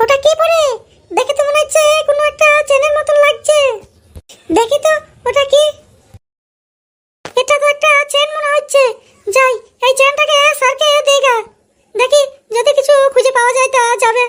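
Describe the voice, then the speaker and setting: A woman's cartoonish character voice at extremely high pitch, with fairly even intonation and very even loudness. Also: moderate pace. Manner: dutiful, eager.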